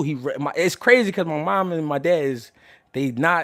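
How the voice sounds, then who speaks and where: A man speaks at a fairly high pitch and a fairly quick pace, with lively intonation. The recording is very clean, with a silent background. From Philadelphia, US. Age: 30s. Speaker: boxing commentator and livestreamer. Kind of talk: casual livestream talk. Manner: loud; animated.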